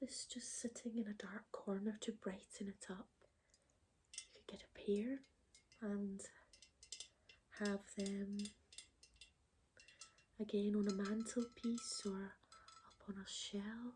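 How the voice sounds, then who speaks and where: A soft-spoken, gentle tone at a very slow pace, with long, frequent pauses. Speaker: ASMR creator. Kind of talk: ASMR roleplay, personal shopper.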